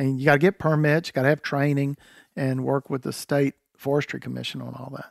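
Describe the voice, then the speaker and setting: A man's fairly high voice in a Southern US accent, fairly quick and monotone, with big swings in loudness and a dry, close sound free of echo. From North Carolina. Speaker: land manager and hunter. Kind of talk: casual chat.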